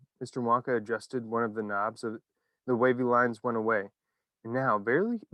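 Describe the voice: Plain reading aloud with fairly even intonation comes through over a quiet background.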